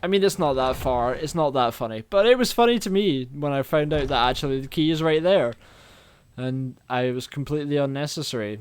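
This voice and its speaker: Someone with a Scottish accent talks at a fairly quick pace. The intonation is lively. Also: man, fairly high pitch for a man. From Scotland. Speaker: gaming let's play creator. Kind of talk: casual gameplay commentary.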